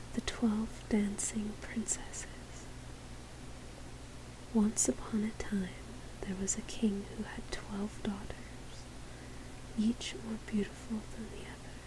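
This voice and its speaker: The speaker is soft-spoken and talks at a very slow pace. Long pauses come often, over noticeable background noise. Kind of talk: read story.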